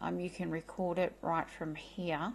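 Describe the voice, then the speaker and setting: A woman with an Australian accent speaks at a medium pitch. Her pace is fairly slow and her intonation fairly even. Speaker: tech tutorial creator. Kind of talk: tutorial. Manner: casual, hesitant with fillers.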